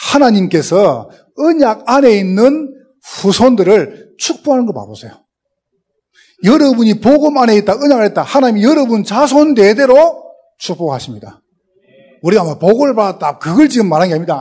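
A man with a high pitch and a dark, mellow tone moves at a moderate pace through very wide pitch swings. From South Korea, Gyeongsang region. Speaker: pastor, guest preacher. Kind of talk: sermon. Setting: church. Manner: speeds up as sermon goes on.

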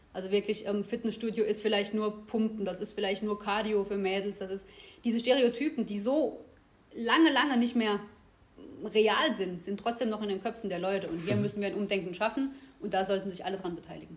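Noticeable background noise runs under a woman talking at a fairly quick pace and medium pitch with ordinary pitch variation. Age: 30s. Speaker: health researcher, professor. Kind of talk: interview.

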